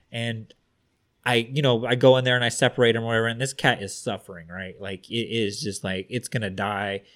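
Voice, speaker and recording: This man has a normal speaking voice. His speech is fairly quick, fairly even in intonation, and medium in pitch. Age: 30s. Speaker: podcast co-host. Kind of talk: casual chat.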